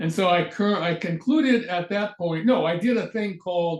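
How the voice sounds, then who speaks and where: A man's high-pitched voice at a moderate pace with ordinary pitch variation. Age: 80s+. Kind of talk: interview answer. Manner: spirited, feisty.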